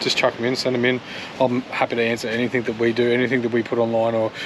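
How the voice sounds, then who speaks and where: A man at a very fast pace, dry sound with no echo, light background noise. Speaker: travel vlogger. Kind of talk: casual vlog chat. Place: open country. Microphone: phone near.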